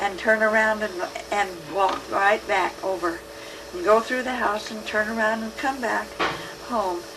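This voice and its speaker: A woman with an American accent at a fairly slow pace, with fairly even intonation, long and frequent pauses, and noticeable background noise. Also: fairly high pitch for a woman. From United States, Idaho. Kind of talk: oral history recollection. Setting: home tape recording.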